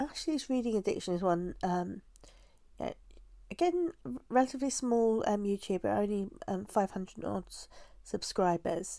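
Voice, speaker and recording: With a British accent, a woman speaks at a fairly high pitch in a dark, mellow tone, her voice making very wide pitch swings. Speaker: booktuber. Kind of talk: casual vlog talk to camera. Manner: slow; hesitant, many fillers.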